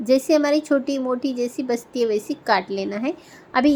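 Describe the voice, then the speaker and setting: With ordinary pitch variation, a woman speaks in a high pitch. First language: Marathi (speaking Hindi). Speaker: craft tutorial creator. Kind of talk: tutorial.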